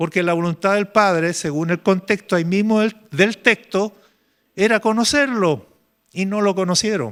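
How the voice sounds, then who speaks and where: A man with a high pitch speaks at a moderate pace with ordinary pitch variation, recorded very cleanly against a silent background with a dry, close sound and no echo. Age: 70s. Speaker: pastor. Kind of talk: sermon. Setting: church retreat with congregation.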